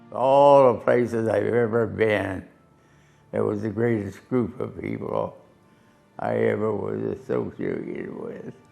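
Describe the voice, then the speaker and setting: A man with an American accent at a fairly slow pace, music in the background. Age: 80s+. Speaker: war veteran, former fighter pilot. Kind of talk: interview answer.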